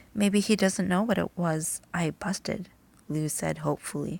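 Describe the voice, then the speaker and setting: Soft-spoken, with vocal fry and fairly even intonation, the voice comes through a very clean recording with a silent background. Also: woman. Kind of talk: bedtime story reading.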